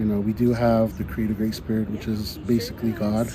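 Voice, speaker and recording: Noticeable background noise can be heard while a man talks. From Santa Clara Pueblo, New Mexico. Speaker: Pueblo hoop dancer. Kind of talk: interview answer.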